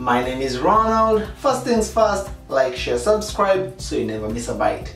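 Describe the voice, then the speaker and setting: A man talks at a moderate pace. The room echo is audible, and faint music plays in the background. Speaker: home DIY vlogger. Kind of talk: casual tutorial vlog. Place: bathroom. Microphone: camera far.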